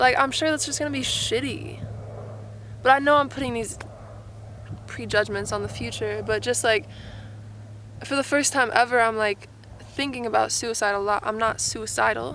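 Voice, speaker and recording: A woman with an American accent talks at a moderate pace, leaving long, frequent pauses. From Arizona. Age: 20s. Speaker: vlogger. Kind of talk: casual talk to camera.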